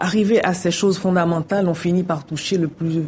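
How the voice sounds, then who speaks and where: A woman's fairly low pitch at a moderate pace, with ordinary pitch variation and an unremarkable speaking voice. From Haiti. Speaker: novelist. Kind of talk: interview.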